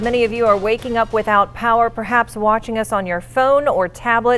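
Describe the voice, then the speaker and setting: Music plays in the background as a woman speaks. Her pitch is fairly high and her pace fairly quick. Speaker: TV news anchor. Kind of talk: morning TV news anchoring.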